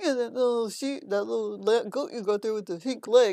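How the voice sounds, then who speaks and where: A woman puts on a character voice, pitched fairly high and delivered at a moderate pace. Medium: solo performance. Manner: simple, naive, broken grammar.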